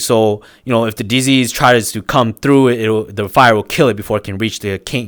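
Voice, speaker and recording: A non-native accent at a moderate pace with ordinary pitch variation, on a very clean recording with a silent background. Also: man. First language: not English. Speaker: streamer. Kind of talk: casual chat. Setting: live stream. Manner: halting.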